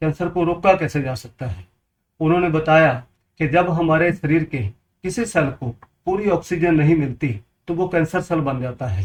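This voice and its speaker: With a Punjabi accent, a man speaks at a fairly high pitch with ordinary pitch variation. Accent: Punjabi-accented Hindi. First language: Punjabi (speaking Hindi). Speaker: water purifier seller, health advice video maker. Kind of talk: informational talk to camera.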